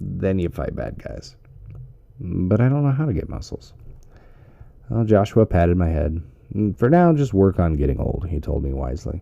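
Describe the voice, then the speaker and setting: A man with an American accent, very deep and low in pitch, with very wide pitch swings, a moderate pace and long, frequent pauses. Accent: American, casual. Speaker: ASMR reading host. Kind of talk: ASMR audiobook reading.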